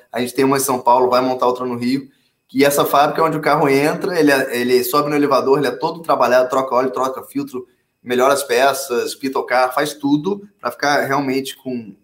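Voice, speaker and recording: Speaking at a fairly quick pace with fairly even intonation, the voice is a normal speaking voice. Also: man, medium pitch for a man. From Brasília, Brazil, with childhood abroad (London, Hong Kong). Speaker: startup founder and CEO. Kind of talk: interview.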